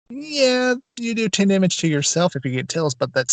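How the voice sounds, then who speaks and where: In a dry, close recording with no echo, a man speaks at a moderate pace with a high pitch and very wide pitch swings. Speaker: podcast co-host. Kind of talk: casual chat. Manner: soft-spoken. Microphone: poor audio, drowned out.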